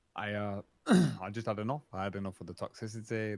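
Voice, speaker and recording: Here a man talks fairly quickly with a British accent. His pitch sits fairly low. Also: dry, close sound with no echo. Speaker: streamer and roleplayer. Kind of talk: casual chat.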